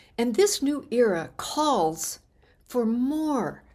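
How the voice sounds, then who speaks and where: Recorded very cleanly against a silent background, a woman with an American accent speaks with ordinary pitch variation. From US Midwest, small-town Illinois. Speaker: radio host and money coach. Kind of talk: radio talk show monologue. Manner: animated.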